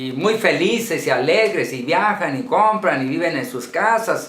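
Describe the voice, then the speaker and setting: The intonation is lively. The delivery moves at a fairly slow pace. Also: man. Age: 60s. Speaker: pastor. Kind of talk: lecture.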